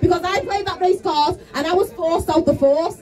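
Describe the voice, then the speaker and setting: With music in the background, a woman with a Liverpool accent talks at a fairly quick pace and ordinary pitch variation. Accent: Liverpool (Scouse). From Liverpool, England. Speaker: activist speaker. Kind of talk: protest speech. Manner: loud; passionate.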